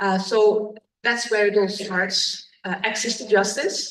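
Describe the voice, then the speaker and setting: Very slow, monotone speech from a woman at medium pitch, flat in intonation, with audible room echo. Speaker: judge. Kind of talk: conference talk.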